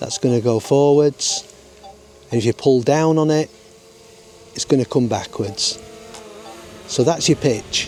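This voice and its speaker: Over noticeable background noise, a man with a strong Lancashire accent and a fairly high pitch speaks at a fairly slow pace with long, frequent pauses and ordinary pitch variation. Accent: broad Lancashire. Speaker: drone pilot. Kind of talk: tutorial talk to camera. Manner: unpolished, casual.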